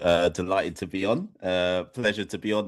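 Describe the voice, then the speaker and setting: In an English accent, a man speaks at a moderate pace with a very deep, low pitch and fairly even intonation. The background is quiet. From Jamaica, raised partly in UK from age four. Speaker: cricket podcaster and educator. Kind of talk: radio interview. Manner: halting, many fillers.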